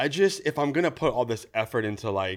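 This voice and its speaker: Animated and lively in intonation, a man with a Californian accent speaks at a medium pitch and a fairly quick pace on a very clean recording with a silent background. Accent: Californian American. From California Central Valley (Newman). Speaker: creative director and DIY content creator. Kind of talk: casual interview chat.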